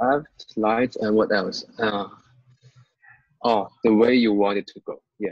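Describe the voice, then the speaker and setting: Speaking with a non-native accent, a man goes at a very slow pace with long, frequent pauses, monotone, flat intonation and big swings in loudness. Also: medium pitch for a man, dry, close sound with no echo. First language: not English. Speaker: student. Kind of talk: tutoring session.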